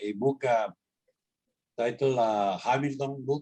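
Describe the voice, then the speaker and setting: A man speaks with a Spanish accent at a moderate pace. His pitch is medium and his intonation fairly even. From Honduras. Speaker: interviewee. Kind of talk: interview. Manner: halting, many repeated words.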